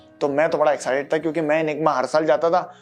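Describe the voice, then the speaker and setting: A man speaks with music playing in the background. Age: 20s. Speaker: podcaster. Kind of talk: solo podcast monologue. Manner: casual, conversational.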